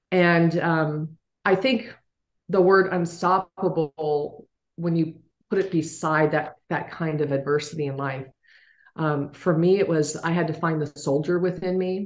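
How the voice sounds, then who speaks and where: A woman at a fairly slow pace, with fairly even intonation. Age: 60s. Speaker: business leader and author. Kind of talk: interview. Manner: halting.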